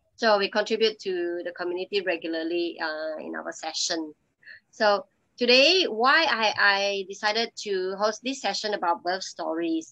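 At a moderate pace, a woman with a medium pitch and a bright, sharp tone speaks with ordinary pitch variation over a quiet background. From Malaysia. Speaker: hypnobirthing educator and support group host; hypnobirthing educator, support group host. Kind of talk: online support group session. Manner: hesitant, many fillers. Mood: calm, warm. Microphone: video call.

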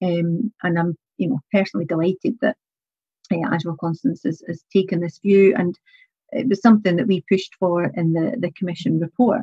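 A woman with a Scottish accent speaks at a fairly quick pace. Her voice is fairly low and somewhat breathy. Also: ordinary pitch variation. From Scotland, Scottish Borders (Kelso). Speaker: political activist and policy researcher. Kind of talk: interview on a live talk show. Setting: video call.

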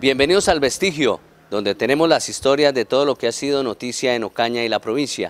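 A man's pitch varies in an ordinary way as he talks. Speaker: TV journalist. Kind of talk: news report to camera. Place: street. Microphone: handheld.

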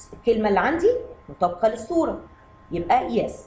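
Over noticeable background noise, a woman with an Egyptian accent speaks at a fairly high pitch with very wide pitch swings. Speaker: English teacher for kids. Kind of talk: lesson. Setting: video lesson.

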